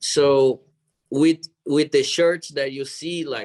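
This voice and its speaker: A man at a fairly high pitch with a Brazilian Portuguese accent, moderate pace, dry, close sound with no echo. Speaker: jiu-jitsu athlete and gym owner. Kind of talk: interview.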